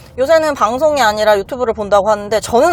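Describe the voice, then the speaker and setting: With lively intonation, a woman uses a normal speaking voice pitched fairly high. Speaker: lawyer. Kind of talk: casual chat.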